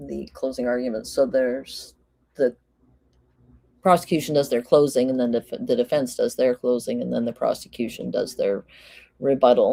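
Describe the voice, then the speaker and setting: This woman keeps a moderate pace but pauses often and at length. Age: 50s. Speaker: live-stream true crime commentator. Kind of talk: casual live-stream chat.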